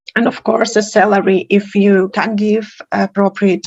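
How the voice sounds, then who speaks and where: Somewhat breathy and monotone, a woman speaks at a medium pitch and a fairly slow pace with flat intonation. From Russia. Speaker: professor. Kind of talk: conference talk.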